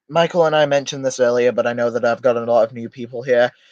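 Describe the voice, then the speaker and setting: Delivery moves at a fairly quick pace. The sound is dry and close, without any echo. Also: man. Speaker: streamer. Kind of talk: livestream commentary. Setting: live stream. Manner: fast.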